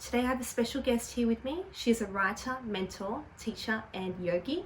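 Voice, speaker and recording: This woman's fairly high voice has lively intonation at a moderate pace. Noticeable background noise runs underneath. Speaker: interview host. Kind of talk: interviewer questions.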